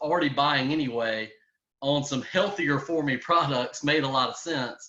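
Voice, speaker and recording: This man has a bright, sharp tone, a fairly high pitch, ordinary pitch variation and a strong Southern US accent. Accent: strong Southern country. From US South, Louisiana. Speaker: network marketing entrepreneur. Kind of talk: business opportunity pitch. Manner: hesitant, many fillers and repetitions.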